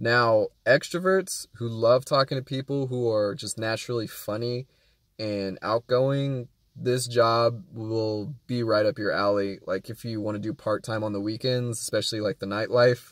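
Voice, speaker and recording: In an ordinary speaking voice, a man talks at a moderate pace and medium pitch with ordinary pitch variation. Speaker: rideshare driver and vlogger. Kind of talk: casual vlog talk. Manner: calm, quiet.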